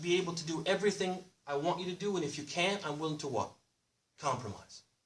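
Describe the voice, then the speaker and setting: A man speaks loudly and very fast in a bright, sharp tone. His pitch is high, with ordinary pitch variation. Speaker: Islamic preacher. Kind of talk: sermon. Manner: animated, call-and-response questions.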